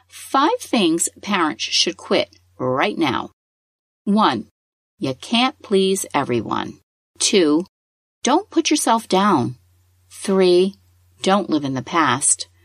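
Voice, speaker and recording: In a dry, close recording with no echo, a woman speaks very slowly at a medium pitch with vocal fry, very wide pitch swings and long, frequent pauses. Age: 50s. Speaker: parenting podcast host. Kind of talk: scripted narration.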